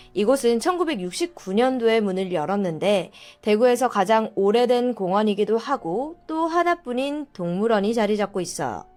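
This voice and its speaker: On a very clean recording with a silent background, a woman speaks at a moderate pace. Her fairly high voice has lively intonation. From South Korea, Daegu. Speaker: mystery storyteller. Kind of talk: true-crime storytelling.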